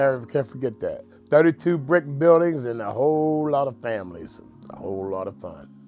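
Faint music plays in the background as a man talks at a fairly high pitch with lively intonation and big swings in loudness. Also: moderate pace. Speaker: oral history interviewee. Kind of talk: interview answer. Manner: casual, reminiscing. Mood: reminiscing, warm. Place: home room.

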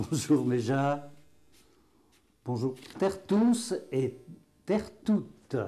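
A man talks at a very slow pace with long, frequent pauses. His dark, mellow tone moves through very wide pitch swings. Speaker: patois teacher; dialect teacher. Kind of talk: regional dialect lesson. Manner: casual, folksy. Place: classroom. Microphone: lapel.

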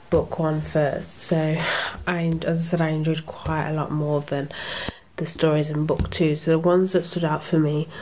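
Delivered at a moderate pace in a monotone, flat intonation, the speech sits over light background noise. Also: woman, very deep, low pitch for a woman. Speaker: comic book reviewer. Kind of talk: casual review chat. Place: home room. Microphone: phone near.

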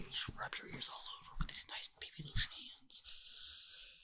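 The speaker whispers at a fairly slow pace. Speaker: ASMR streamer. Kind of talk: casual talk to camera, ASMR rambling. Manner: soft-spoken, whispering. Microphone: studio mic.

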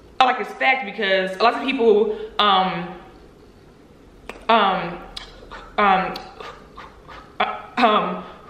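A woman talks very slowly, with long, frequent pauses, while noticeable background noise continues behind her. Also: medium pitch for a woman, ordinary pitch variation. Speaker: YouTuber, stuttering advocate. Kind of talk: casual talk to camera.

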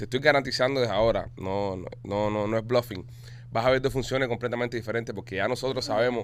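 Light background noise sits behind a man's voice. He speaks very fast with vocal fry. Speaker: comedy podcast host. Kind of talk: casual comedic chat, reading listener messages. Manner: animated. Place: studio.

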